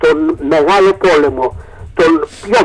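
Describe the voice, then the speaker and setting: Noticeable background noise behind a man's voice. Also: dry, close sound with no echo. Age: 70s. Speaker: priest. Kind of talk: interview. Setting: internet radio studio. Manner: halting.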